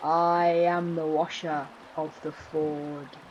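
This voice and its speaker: Using a put-on character voice, a woman speaks very slowly in a very deep, low, monotone, flat pitch against clear background noise. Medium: read story. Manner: low, cruel laughing.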